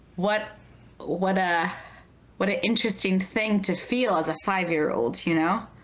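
With audible room echo, a woman at a medium pitch speaks at a fairly slow pace, keeping her loudness very even and her pitch variation ordinary, and she leaves long, frequent pauses. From Baltimore. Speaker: podcast host. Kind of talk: casual interview.

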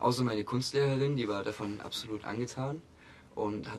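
A man speaks fairly slowly, with noticeable noise behind him. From Saxony, near Chemnitz (Augustusburg). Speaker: art student and painter. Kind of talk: casual interview.

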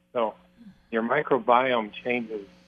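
Speaking at a medium pitch with fairly even intonation, a man talks in an American accent. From Colorado. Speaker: guest advocate of plant-based diet. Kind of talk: casual interview conversation. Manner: halting, with fillers.

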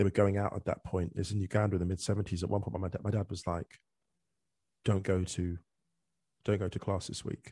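In a dry, close recording with a quiet background, a man with a very deep, low pitch speaks very fast in a dark, mellow, somewhat breathy tone and monotone, flat intonation. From England. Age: 40s. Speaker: author and football podcaster. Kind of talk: casual chat. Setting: remote call.

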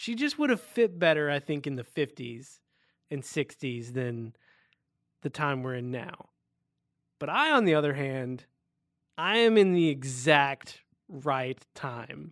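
A man's fairly high voice with lively intonation, a fairly slow pace, and long, frequent pauses. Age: 30s. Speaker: podcast co-host. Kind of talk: casual chat.

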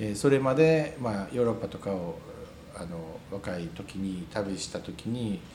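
Audible room echo surrounds a man who speaks at a fairly low pitch and a fairly slow pace, with lively intonation. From Wakayama, Ryujin village. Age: 40s. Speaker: restaurant owner. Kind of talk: interview. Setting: cafe. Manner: halting.

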